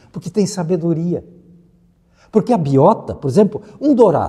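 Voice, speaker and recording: Moderate pace, with very wide pitch swings. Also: man. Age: 70s. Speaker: environmental expert. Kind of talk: interview.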